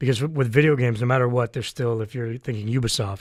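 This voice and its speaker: A somewhat breathy man with ordinary pitch variation, on a very clean recording with a silent background. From Canada. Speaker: voice actor. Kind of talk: interview answer.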